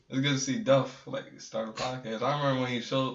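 With an American accent and fairly even intonation, a man talks at a very fast pace amid audible room echo. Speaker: visual artist and photographer. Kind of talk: casual chat.

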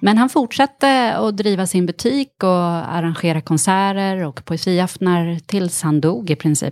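A plain, everyday voice with lively intonation at a fairly slow pace, in a very clean recording with a silent background and a dry, close sound with no echo. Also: woman. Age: 40s. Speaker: actress and author. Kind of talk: casual interview chat.

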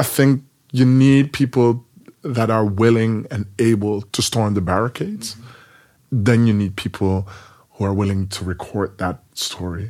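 Here a man with a Dutch accent speaks at medium pitch and a fairly slow pace. His pitch varies normally, and the recording is very clean with a silent background. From Netherlands, Rotterdam. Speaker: poet and performer. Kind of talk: interview.

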